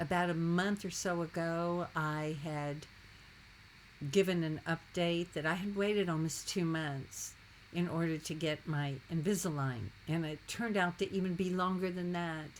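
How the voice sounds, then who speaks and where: With a fairly low pitch, a woman speaks slowly in a normal speaking voice, at a fairly slow pace. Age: 60s. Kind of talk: casual talk to camera.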